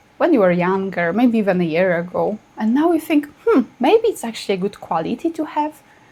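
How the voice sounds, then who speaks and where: A woman talks at a moderate pace with a non-native accent. Her fairly high voice has very wide pitch swings. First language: not English. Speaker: astrologer. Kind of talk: casual video talk to camera.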